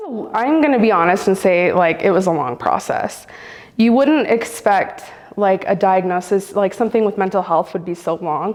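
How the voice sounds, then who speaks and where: At a moderate pace, the speech rises and falls in a lively way against noticeable noise in the background. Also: woman, medium pitch for a woman. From US, Central American family. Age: 30s. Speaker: storyteller sharing lived experience. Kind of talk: personal testimony interview. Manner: casual, frequent fillers.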